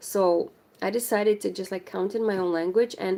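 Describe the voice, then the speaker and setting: The voice has a dark, mellow tone and a Romanian accent, captured in a very clean recording with a silent background. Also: woman. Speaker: crochet livestreamer. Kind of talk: casual chat.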